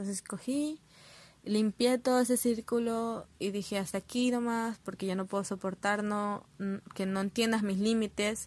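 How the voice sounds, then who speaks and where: The speaker is a woman with a fairly high pitch. She talks at a fairly slow pace with fairly even intonation. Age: 20s. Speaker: podcaster. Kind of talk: personal monologue. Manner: halting.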